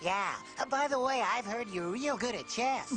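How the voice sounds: A cartoonish character voice, fairly high in pitch, at a moderate pace over loud background music.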